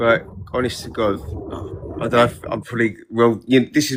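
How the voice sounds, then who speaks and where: In a London accent, a man speaks at a medium pitch with ordinary pitch variation. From northwest London. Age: 40s. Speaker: TikTok live participant. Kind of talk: casual chat.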